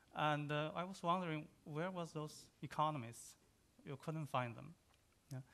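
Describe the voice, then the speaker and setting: A man speaks at a fairly high pitch with a bright, sharp tone and a Chinese accent. His pitch varies in an ordinary way, and the background is quiet. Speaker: economist. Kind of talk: conference panel talk. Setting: conference session with microphone. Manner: halting, many hesitations.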